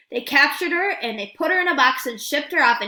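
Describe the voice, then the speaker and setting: A woman uses a put-on character voice pitched high. She talks at a very fast pace. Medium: read story. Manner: sardonic.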